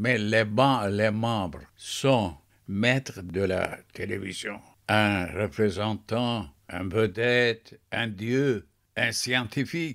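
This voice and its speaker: On a very clean recording with a silent background, a man talks at a very slow pace. His pitch is medium, with ordinary pitch variation. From Turkey, Mersin. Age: 80s+. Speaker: poet and writer. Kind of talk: interview. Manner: halting.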